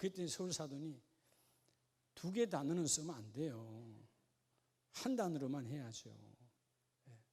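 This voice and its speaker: A man speaks at a fairly slow pace with long, frequent pauses, a fairly high pitch and lively intonation. His voice is somewhat breathy with a dark, mellow tone, big swings in loudness and audible room echo. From Gyeongsang region, South Korea. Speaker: pastor. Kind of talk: sermon. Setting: church. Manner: animated.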